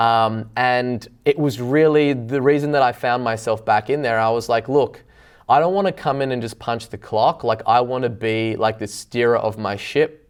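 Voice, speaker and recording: A medium-pitched man with an Australian accent. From Australia, Byron Bay. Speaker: business owner. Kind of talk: interview.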